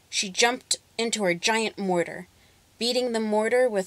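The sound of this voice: An unforced reading voice, its pitch shifting in an ordinary way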